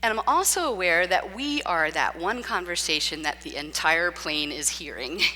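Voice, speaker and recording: Loud and with hardly any pauses, a woman's voice makes very wide pitch swings. Music plays in the background. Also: fairly low pitch for a woman, moderate pace. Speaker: preacher. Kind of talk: sermon. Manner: talks nonstop.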